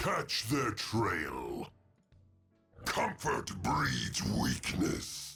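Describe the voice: A man bellows and growls in a raspy, put-on character voice with a menacing tone, going very slowly. Faint music plays in the background.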